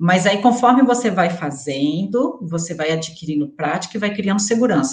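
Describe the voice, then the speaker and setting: A woman's somewhat breathy voice at medium pitch, lively in intonation, at a moderate pace. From interior of Rio de Janeiro state, rural. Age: 30s. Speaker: air miles student sharing her experience. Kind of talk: interview. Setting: live stream video call.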